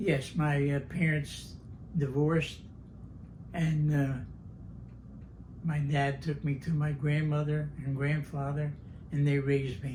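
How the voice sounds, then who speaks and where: A man speaks in a fairly high pitch, somewhat breathy, with monotone, flat intonation. His fairly slow delivery has long, frequent pauses, and audible room echo surrounds it. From New Jersey, Vineland. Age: 90s. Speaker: war veteran. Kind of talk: oral history interview. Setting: at home. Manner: halting.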